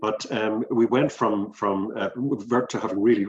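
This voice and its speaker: A man talks at a fairly quick pace with an Irish accent. His pitch is fairly low. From Ireland. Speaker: business director and executive coach. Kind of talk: interview. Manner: halting, many fillers.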